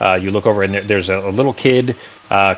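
An unforced reading voice is heard.

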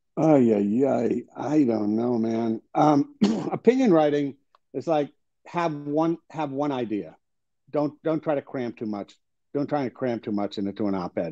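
A man's dark, mellow tone at a fairly slow pace against a quiet background. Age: 60s. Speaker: business journalist and columnist; guest journalist. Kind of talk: interview. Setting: video call from home. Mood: relaxed conversational. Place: home room. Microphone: video call.

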